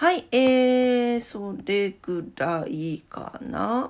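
A woman is speaking. Her intonation is lively. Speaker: solo podcast host. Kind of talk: casual morning monologue.

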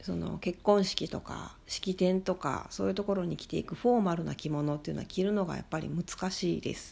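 Very clean audio, total background silence, and a moderate speaking rate. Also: woman. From Shikoku, Japan. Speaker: podcaster. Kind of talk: solo monologue.

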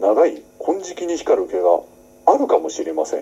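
A man is speaking. His pace is fairly slow. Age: 40s. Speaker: actor hosting a solo talk podcast. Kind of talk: casual solo talk. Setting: home room used as makeshift studio. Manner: many fillers and hesitations; polite, slightly formal phrasing.

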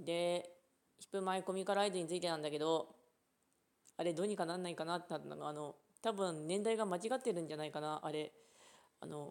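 A woman's fairly low voice at a very fast pace, with ordinary pitch variation and long, frequent pauses. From Japan, Ishikawa. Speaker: podcaster. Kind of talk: casual chat. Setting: outdoors at a rural unmanned train station.

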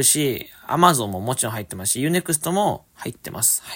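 A man with a fairly high pitch, a bright, sharp tone, very wide pitch swings and a fairly quick pace. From Japan, Fukuoka. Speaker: podcast host. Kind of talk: casual solo talk reading listener mail. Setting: alone in a room at family home. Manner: upbeat.

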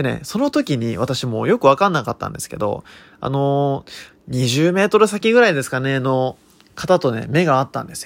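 An ordinary speaking voice moves at a moderate pace, with lively intonation and big swings in loudness. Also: man, fairly high pitch for a man. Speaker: consultant and podcaster. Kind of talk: unscripted solo monologue. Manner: frequent filler words.

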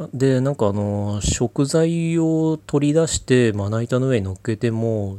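A man talks at a fairly slow pace in a dark, mellow tone with ordinary pitch variation. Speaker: solo podcaster with depression. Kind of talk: casual monologue answering listener mail. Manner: hesitant, many fillers.

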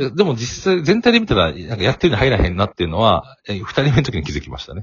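A man with a medium pitch talks at a very fast pace. His pitch swings very widely and his loudness shifts in big swings. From Kansai, Kobe. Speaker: corporate sales worker and working father. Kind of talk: casual interview.

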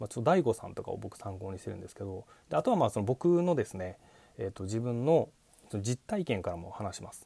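A man's medium-pitched, somewhat breathy voice with a dark, mellow tone, at a very fast pace, with very wide pitch swings and big swings in loudness. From Japan, Kochi Prefecture. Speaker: podcast host, former call center worker, musician. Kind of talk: solo monologue talk. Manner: many filler words.

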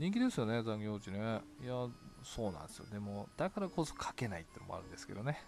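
Very fast speech with music in the background. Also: man. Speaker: solo podcaster reading blog comments. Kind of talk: casual solo talk, reading and answering comments. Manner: frequent laughter.

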